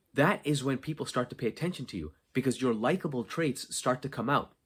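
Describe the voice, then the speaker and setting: A man with an ordinary speaking voice talks at a medium pitch and a fairly quick pace. His intonation is lively, on a very clean recording with a silent background. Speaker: podcast host, content creation coach. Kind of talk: solo podcast monologue. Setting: unfinished basement.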